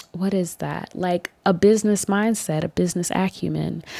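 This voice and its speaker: Soft-spoken, a woman with a dark, mellow tone is heard on a very clean recording with a silent background. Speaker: mental health podcaster sharing lived experience. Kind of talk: personal testimony monologue.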